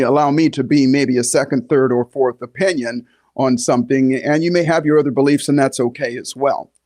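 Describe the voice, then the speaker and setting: Against a quiet background, a man with a normal speaking voice talks at a fairly quick pace and fairly high pitch with ordinary pitch variation. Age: 60s. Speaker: podcast host and health coach. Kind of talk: podcast monologue. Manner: conversational, with frequent fillers.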